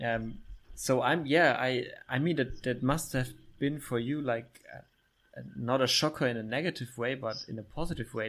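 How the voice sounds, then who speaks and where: In a German accent, a man speaks at a medium pitch and a fairly slow pace. The recording is very clean, with a silent background. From Germany, Middle Franconia (Bavaria). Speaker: podcast host. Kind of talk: casual interview.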